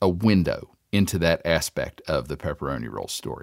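A man with an American accent talks in a very deep, low pitch marked by vocal fry. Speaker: food reporter. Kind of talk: radio feature narration.

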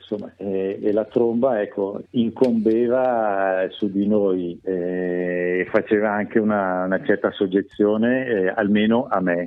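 This man has a fairly low pitch and fairly even intonation. He speaks at a very slow pace. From Milan, northern Italy. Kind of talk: radio interview. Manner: halting.

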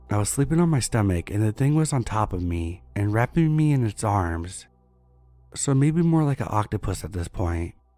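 Music plays behind a man with a fairly low pitch. He talks at a moderate pace, his pitch swinging very widely. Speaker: scary story narrator. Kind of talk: scripted horror story narration, reading listener-submitted tales, for sleep.

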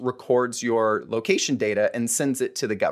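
A normal speaking voice with an American accent, moderate pace and ordinary pitch variation against a quiet background. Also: man. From Florida (Fort Myers). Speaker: attorney. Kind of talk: casual chat.

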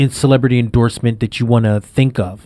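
Someone with an American accent talks at a moderate pace with fairly even intonation. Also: man. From Brooklyn, New York. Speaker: podcast co-host. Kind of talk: casual chat.

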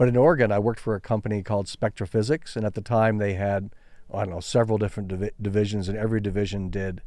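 A man with an American accent speaks very fast at a fairly low pitch with fairly even intonation. His tone is dark and mellow, in a very clean recording with a silent background. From Kansas, US Midwest. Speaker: business innovation author and speaker. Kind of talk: interview.

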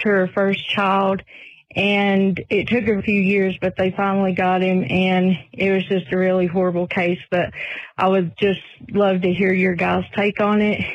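With a Southern US accent, a woman speaks at a fairly slow pace and medium pitch in a monotone, flat intonation and very even loudness, over a quiet background. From Tennessee. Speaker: truck driver, listener caller. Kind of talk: voicemail message.

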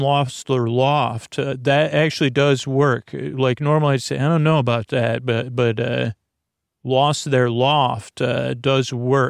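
Against a quiet background, a man of medium pitch speaks at a fairly slow pace with ordinary pitch variation, the sound dry and close with no echo. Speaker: sleep podcast host. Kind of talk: rambling bedtime monologue. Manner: soothing, lulling.

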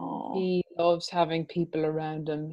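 A woman speaks with an Irish accent. Her voice is very deep and low, dark and mellow in tone, and flat and monotone. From Ireland. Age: 40s. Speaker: restaurant owner and mother. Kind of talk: interview. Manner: hesitant, many fillers.

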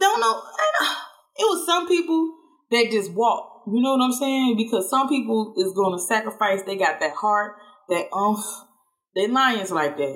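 A woman speaks at a fairly high pitch with very wide pitch swings. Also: fairly slow pace. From US South, Georgia (Statesboro). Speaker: podcast host. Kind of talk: casual monologue.

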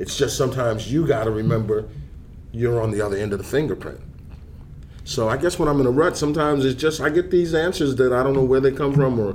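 Speaking at a very fast pace, a man uses a medium pitch in a New York accent. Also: ordinary pitch variation. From New York (Harlem). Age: 60s. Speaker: substance abuse counselor. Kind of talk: casual chat.

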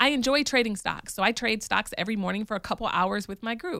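A woman speaks at a moderate pace and a fairly high pitch, with a bright, sharp tone and ordinary pitch variation. The recording is very clean, with a silent background. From Michigan. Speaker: podcast host. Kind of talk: casual monologue.

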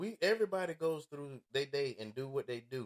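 A man talks in a normal speaking voice with lively intonation at a moderate pace. The sound is dry and close, with no echo. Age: 50s. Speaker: podcast host, former truck driver. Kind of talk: casual chat. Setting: studio.

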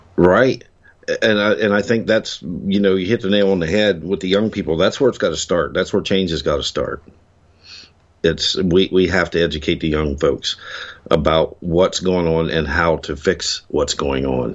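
A man's very deep, low voice with vocal fry, ordinary pitch variation and an American accent. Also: moderate pace. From Ohio, US Midwest. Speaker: hunter and cryptid witness. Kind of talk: interview.

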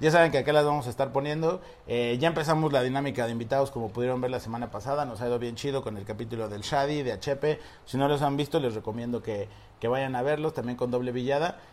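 Pitched in the medium range, a man talks at a very fast pace with ordinary pitch variation. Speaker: podcast host. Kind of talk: casual chat. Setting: on vacation at the beach.

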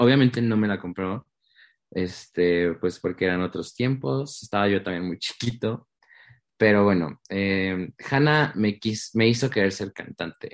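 A plain, everyday voice from a man with a fairly low pitch, ordinary pitch variation and a fairly slow pace, dry and close with no echo over a quiet background. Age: 20s. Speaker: singer. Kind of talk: interview.

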